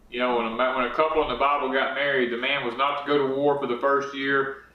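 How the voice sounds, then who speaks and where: With a Southern US accent, a man talks at a very fast pace in a fairly high pitch, his intonation monotone and flat amid noticeable background noise. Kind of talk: casual talk to camera.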